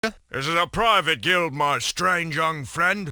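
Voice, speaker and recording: A fairly slow, high-pitched put-on character voice from a man. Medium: video game. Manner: blunt, folksy.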